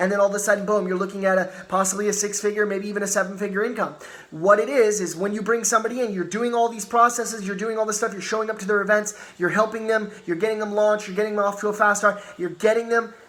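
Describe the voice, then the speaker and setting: A man's animated, very fast delivery in a high voice, over noticeable background noise. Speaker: network marketing team leader. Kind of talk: motivational training talk.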